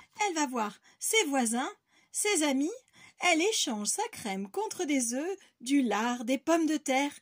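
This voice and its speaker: Speaking fairly slowly with long, frequent pauses, a woman uses a high pitch with very wide swings and a warm, animated tone. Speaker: kindergarten teacher. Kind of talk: bedtime story reading aloud to young children, in a gentle storyteller's sing-song. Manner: animated, playful, with rhythmic emphasis on the repeated 'tap-tip-top' refrains; slow, soft and warm, addressing small children.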